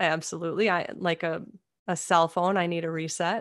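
Over a quiet background, a woman speaks in a Minnesotan accent. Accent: Minnesota. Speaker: comedian and speaker. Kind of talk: interview conversation.

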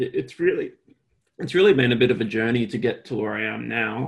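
A man with an Australian accent talks at a fairly quick pace. His voice has vocal fry. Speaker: architect and BIM consultant. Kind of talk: casual interview chat.

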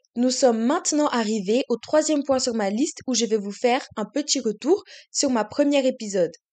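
Speaking at a moderate pace against a quiet background, a woman with a high pitch has a dark, mellow tone and lively intonation. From Switzerland. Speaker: podcast host. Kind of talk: scripted monologue.

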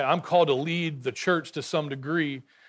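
A man with an American accent and a fairly high pitch, at a moderate pace with fairly even intonation, on a very clean recording with a silent background. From rural Texas. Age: 40s. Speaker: guest preacher. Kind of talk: sermon. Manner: halting.

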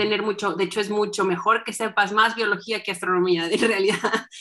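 Bright and sharp in tone, a woman talks at a medium pitch and a fairly quick pace. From northern Mexico (Saltillo, Coahuila). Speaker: astronomer. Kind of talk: interview. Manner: animated.

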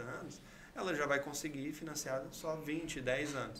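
Fairly slow speech with fairly even intonation comes through noticeable background noise and audible room echo. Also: man. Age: 30s. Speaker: civil engineer and builder. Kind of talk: interview.

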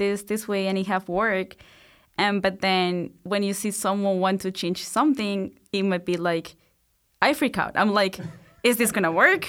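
A woman's medium-pitched voice at a moderate pace in a very clean recording with a silent background. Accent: Spanish. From Colombia, Bogota. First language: Spanish. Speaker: PhD student. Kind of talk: interview.

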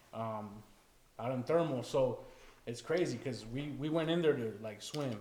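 With long, frequent pauses, a man with an American accent speaks at a medium pitch with ordinary pitch variation, and audible room echo surrounds his voice. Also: moderate pace. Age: 30s. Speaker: podcast guest. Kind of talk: casual chat.

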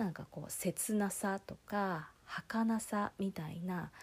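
A woman's somewhat breathy, relaxed voice with ordinary pitch variation, in a very clean recording with a silent background. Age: 30s. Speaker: solo podcast host. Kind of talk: casual monologue. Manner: relaxed, hesitant with fillers.

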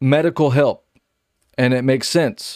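A man talks in a normal speaking voice at a fairly slow pace. His pitch is fairly high, with ordinary pitch variation. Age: 30s. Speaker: preacher. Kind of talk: sermon.

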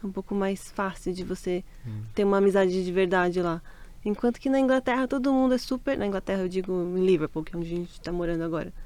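A woman speaks at a very fast pace and a medium pitch with ordinary pitch variation. Noticeable background noise runs underneath. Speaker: Brazilian emigrant. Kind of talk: casual interview.

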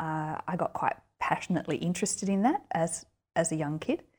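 A woman with an Australian accent speaks at a fairly low pitch. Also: very clean recording, silent background. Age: 40s. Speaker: writer and university lecturer. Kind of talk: interview.

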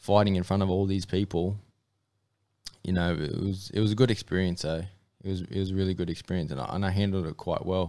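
A man with an Australian accent, very deep and low in pitch, dark and mellow in tone, at a very fast pace with fairly even intonation. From North Queensland, Australia (Mackay). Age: 20s. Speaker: amateur MMA fighter. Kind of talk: interview. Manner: casual, hesitant fillers.

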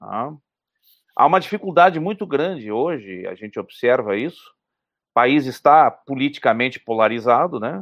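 The man's voice sits at a medium pitch yet swings very widely. His pace stays moderate. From southern Brazil, Porto Alegre. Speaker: economist. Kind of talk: interview.

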